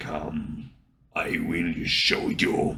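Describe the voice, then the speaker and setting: A man's put-on character voice, growling. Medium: read story. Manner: cold, flat, formal.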